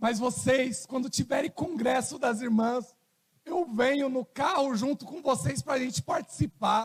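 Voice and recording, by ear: A man's hoarse, put-on character voice, extremely high in pitch, at a moderate pace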